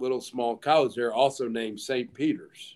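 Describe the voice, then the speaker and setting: A man with a Southern US accent, medium pitch and a moderate pace. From US South. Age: 30s. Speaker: college football head coach. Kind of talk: casual chat.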